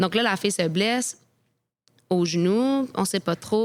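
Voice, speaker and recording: A woman with a Quebec accent speaks at a fairly slow pace, using ordinary pitch variation. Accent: Québécois French. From Quebec, Quebec City. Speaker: professional soccer goalkeeper. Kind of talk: interview storytelling.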